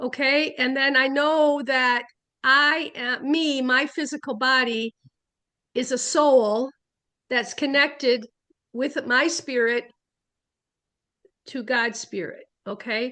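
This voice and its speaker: A raised, projected voice with a bright, sharp tone speaks very slowly, with fairly even intonation. Long, frequent pauses stand out against a quiet background. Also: woman, high pitch for a woman. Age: 70s. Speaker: spiritualist minister. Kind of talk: casual talk. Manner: halting.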